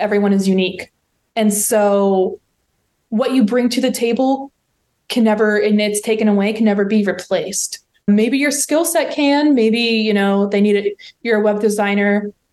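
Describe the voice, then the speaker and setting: With ordinary pitch variation and a fairly high pitch, a woman talks at a moderate pace. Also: very even loudness. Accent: American. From West Virginia. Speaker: digital marketing professional. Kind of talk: interview conversation.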